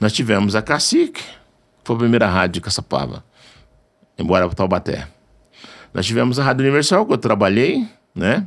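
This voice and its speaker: Pausing long and often, a man talks at a moderate pace and medium pitch, with lively intonation, vocal fry and very even loudness. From Brazil, northern Minas Gerais. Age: 60s. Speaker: radio station owner and journalist. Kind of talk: interview conversation.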